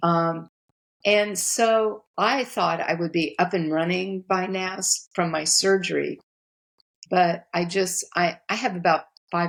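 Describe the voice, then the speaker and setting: Talking at a very slow pace, a woman uses a fairly low pitch with fairly even intonation. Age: 70s. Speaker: relationship coach and author. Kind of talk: podcast interview.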